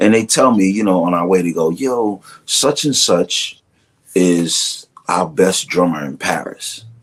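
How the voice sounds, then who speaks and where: With a Brooklyn accent, a man speaks at a fairly slow pace in a very deep, low pitch, his intonation lively. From Brooklyn, New York. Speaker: drummer and music director. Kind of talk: casual interview chat. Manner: animated.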